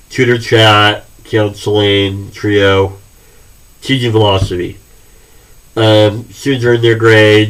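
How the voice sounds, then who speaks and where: Recorded with audible room echo, a man speaks in a fairly low, somewhat breathy voice with fairly even intonation. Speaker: college history instructor. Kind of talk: recorded class introduction lecture. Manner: halting, many fillers.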